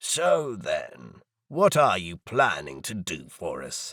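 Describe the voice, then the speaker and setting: A man puts on a raspy character voice, speaking at a very slow pace with big swings in loudness. The recording is very clean, with a silent background. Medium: read story.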